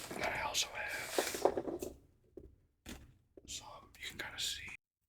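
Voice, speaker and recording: The voice is whispering in a relaxed tone. It moves at a moderate pace. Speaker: ASMR content creator and hobby angler. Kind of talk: casual show-and-tell talk to camera. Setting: home recording with desktop microphone. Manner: relaxed, hesitant, filler-heavy, soft-spoken.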